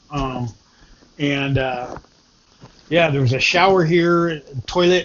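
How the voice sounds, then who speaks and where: A man with a fairly high pitch and ordinary pitch variation is heard over noticeable background noise. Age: 60s. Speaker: vlogger. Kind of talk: casual vlog monologue. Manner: halting, many fillers.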